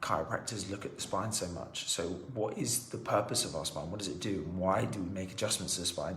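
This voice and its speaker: Audible room echo surrounds a man's voice. His pitch is fairly low and his pace moderate. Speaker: chiropractor. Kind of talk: health explainer video.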